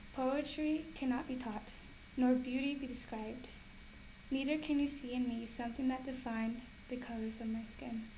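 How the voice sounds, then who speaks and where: A woman with a non-native accent speaks at a high pitch and a moderate pace. Her intonation is monotone and flat, with noticeable background noise. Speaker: poet. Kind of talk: poetry reading.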